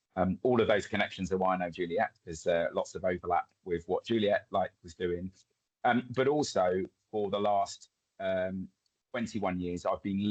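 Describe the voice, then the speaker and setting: Someone speaks with an Essex accent at a moderate pace. The sound is dry and close, with no echo. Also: man. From England, Essex (near Chelmsford). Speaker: community development trainer. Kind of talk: webinar presentation.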